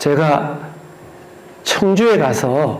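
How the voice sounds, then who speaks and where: A man speaks at a fairly high pitch with very wide pitch swings. The recording has audible room echo and noticeable background noise. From Gyeongsang region, South Korea. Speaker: museum director giving a history lecture. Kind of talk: lecture.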